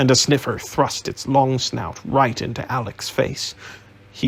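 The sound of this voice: The reading voice is unforced. Nothing in it sounds pushed.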